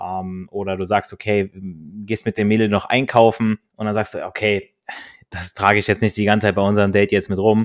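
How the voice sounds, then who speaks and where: On a very clean recording with a silent background, a man talks at a fairly quick pace in a fairly low, monotone voice with flat intonation, dry and close with no echo. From Germany, northern Hesse. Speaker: podcast host. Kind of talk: casual chat.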